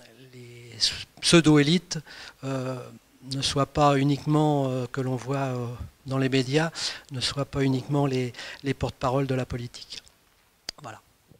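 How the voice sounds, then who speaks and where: Over noticeable background noise, a man speaks in a monotone, flat intonation at a fairly slow pace, with long, frequent pauses and big swings in loudness. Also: medium pitch for a man. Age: 60s. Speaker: political candidate, retired civil servant. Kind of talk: interview self-presentation. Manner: halting, many hesitations.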